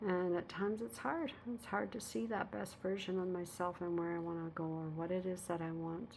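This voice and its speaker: This woman has an unremarkable speaking voice at medium pitch. She keeps a moderate pace with ordinary pitch variation. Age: 60s. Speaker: vlogger. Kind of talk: casual personal vlog. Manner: reflective, with many fillers.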